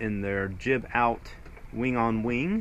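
A man's voice over light background noise. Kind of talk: casual vlog chat. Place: boat. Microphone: phone near.

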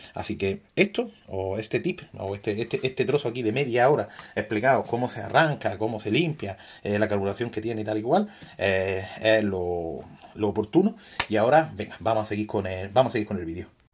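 A man's fairly low voice at a moderate pace. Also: ordinary pitch variation. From Granada, Andalusia, Spain; Andalusia, Spain. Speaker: radio-control shop owner and YouTuber; radio-control shop owner, YouTuber. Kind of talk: tutorial. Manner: animated, repetitive. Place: shop. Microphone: phone near.

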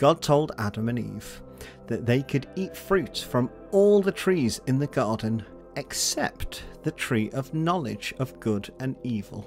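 A man talks fairly slowly, his pitch swinging very widely, while music plays in the background. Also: medium pitch for a man. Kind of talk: children's story narration.

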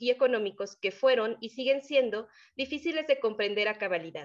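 Moderately paced female speech with ordinary pitch variation over a quiet background. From Mexico. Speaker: doctoral student; conference presenter. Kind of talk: academic conference talk. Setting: video call. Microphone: video call.

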